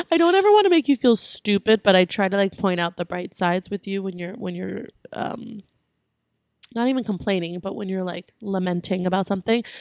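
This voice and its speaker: A woman speaks at a fairly quick pace in an unremarkable speaking voice, medium in pitch with ordinary variation. The recording is very clean and dry, close with no echo and a silent background. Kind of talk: casual podcast conversation.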